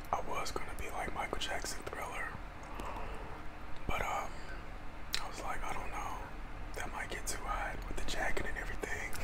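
A man talks at a moderate pace with long, frequent pauses over loud background noise. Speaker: ASMR creator. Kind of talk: ASMR eating video talk to camera. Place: home room.

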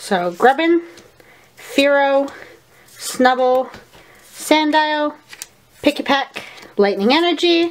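A woman speaks at a high pitch. Her voice moves through very wide pitch swings. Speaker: gaming YouTuber and streamer. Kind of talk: casual card pack opening chat. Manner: loud.

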